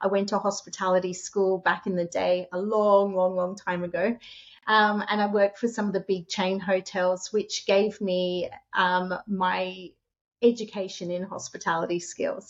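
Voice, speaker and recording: With an Australian accent, a woman speaks at a moderate pace in a medium pitch and a flat, monotone intonation. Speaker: short-term rental host and author. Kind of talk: interview.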